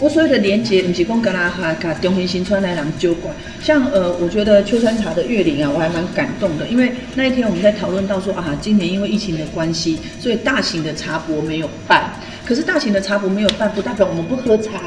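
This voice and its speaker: A woman talks at a very fast clip with a medium pitch and lively intonation. Audible room echo and noticeable background noise surround her voice. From Taiwan, Nantou (Sun Moon Lake area). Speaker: radio co-host. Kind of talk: casual interview chat.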